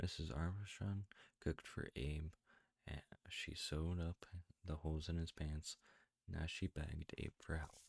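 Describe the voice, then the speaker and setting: A somewhat breathy, fairly slow delivery with fairly even intonation, long, frequent pauses and a dry, close sound with no echo. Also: man, very deep, low pitch for a man. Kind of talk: children's book read-aloud.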